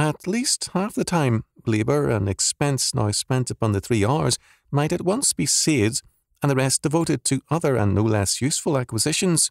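On a very clean recording with a silent background and a dry, close sound with no echo, a man with an ordinary speaking voice talks at medium pitch and a moderate pace, his intonation lively. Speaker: audiobook narrator. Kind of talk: audiobook reading, scripted narration of an academic book. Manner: formal, measured, steady; even, lecture-like delivery.

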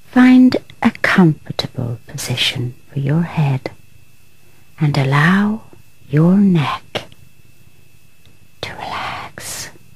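Very slow speech with long, frequent pauses, very wide pitch swings and big shifts in loudness over noticeable background noise. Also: woman, very deep, low pitch for a woman. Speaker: relaxation guide. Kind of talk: guided relaxation. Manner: quiet, soft-spoken.

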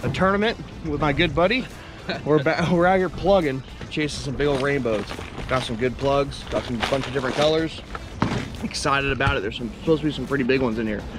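A man speaks at a very fast pace. The sound is dry with no echo, and music plays in the background. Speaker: fishing vlogger. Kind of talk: casual vlog chat. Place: boat. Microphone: camera far.

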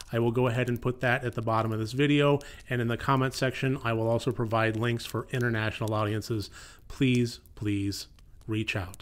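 Here a man talks at a fairly quick pace. His intonation is monotone and flat. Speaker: horror film reviewer. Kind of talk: film review. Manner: somber, serious tone. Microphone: studio mic.

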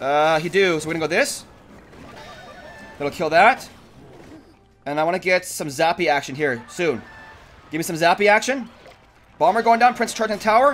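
Over music in the background, a man with a high pitch talks with lively intonation at a moderate pace, leaving long, frequent pauses. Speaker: gaming youtuber. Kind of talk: live gameplay commentary. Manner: animated.

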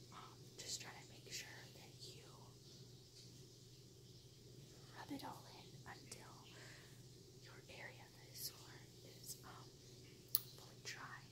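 Whispering quietly at a very slow pace with long, frequent pauses, a woman is heard over loud background noise. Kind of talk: casual tutorial chat. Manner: quiet whispered instructions, ASMR. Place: home room. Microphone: phone near.

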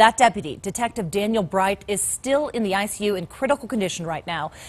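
Her intonation is lively and her pitch fairly high. The woman speaks at a fairly quick pace, somewhat breathy. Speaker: news anchor. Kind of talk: news reading. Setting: studio. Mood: serious, measured. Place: studio. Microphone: lapel.

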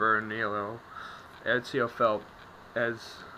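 In a flat monotone, a man talks at a mid-range pitch. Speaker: amateur audiobook reader. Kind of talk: read story. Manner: hesitant, stumbling reading.

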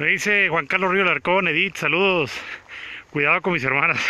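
With a bright, sharp tone and high pitch, a man talks at a fairly quick pace with ordinary pitch variation in a dry sound with no echo. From Mexico, Sonora (Guaymas); Sonora, Mexico. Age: 30s. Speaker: actor and vlogger; actor, vlogger. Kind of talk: live-streamed walking vlog. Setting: outdoors on a city walk. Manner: casual, chatty. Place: street. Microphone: phone near.

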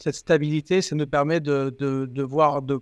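A man speaks with a quiet background and a dry sound with no echo. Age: 50s. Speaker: company CEO; guest. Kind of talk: interview. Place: home room. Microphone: earbuds.

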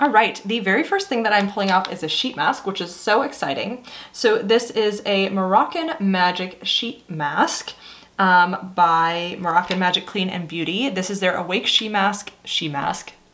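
A woman speaks at a moderate pace, her intonation lively. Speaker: beauty subscription box reviewer. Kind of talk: casual vlog chat. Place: home room.

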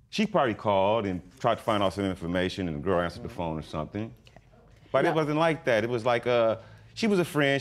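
The words pour out at a very fast pace with hardly any pauses. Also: man. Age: 40s. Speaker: reality court show litigant. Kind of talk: testimony. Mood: defensive, explaining himself. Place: stage.

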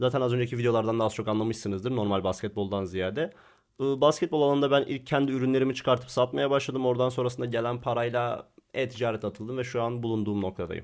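A man speaks at a very fast pace, his pitch medium and its variation ordinary. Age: young. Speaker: digital marketing YouTuber. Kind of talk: Q&A vlog.

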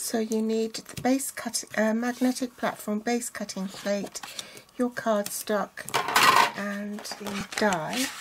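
A woman talks at a very slow pace. Noticeable background noise sits behind her. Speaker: craft demonstrator. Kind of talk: tutorial.

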